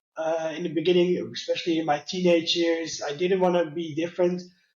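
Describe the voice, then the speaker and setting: High-pitched male voice with a Dutch accent. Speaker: customer experience leader with low vision. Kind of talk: interview. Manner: halting, many fillers.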